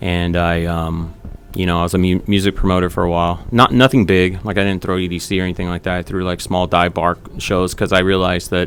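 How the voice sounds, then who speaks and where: Over noticeable background noise, a man talks at a very fast pace. His very deep, low voice is monotone and flat. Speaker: entrepreneur. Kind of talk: casual interview. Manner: casual, filler-heavy; speaks loosely.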